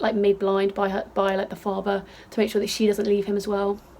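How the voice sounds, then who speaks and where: A woman talks at a fairly quick pace in an animated tone. Noticeable background noise can be heard. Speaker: beauty vlogger. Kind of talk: casual chat. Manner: fast.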